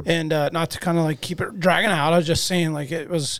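A man speaks with a high-pitched voice. His intonation stays fairly even. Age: 30s. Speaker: podcast co-host. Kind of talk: casual chat.

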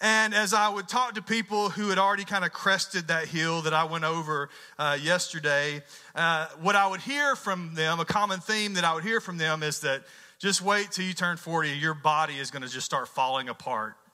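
Music plays in the background as a man with a Southern US accent speaks at a moderate pace. His pitch is high, with ordinary variation. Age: 40s. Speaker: pastor. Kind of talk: sermon.

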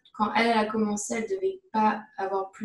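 This woman talks at a fairly quick pace with a fairly high pitch. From France, Paris region. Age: 20s. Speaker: neuroscience graduate student. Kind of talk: interview.

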